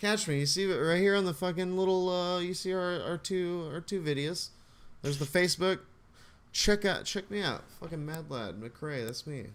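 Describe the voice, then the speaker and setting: On a very clean recording with a silent background, a man speaks loudly at a high pitch and a moderate pace. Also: ordinary pitch variation. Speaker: podcast co-host and streamer. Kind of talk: casual chat. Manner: animated.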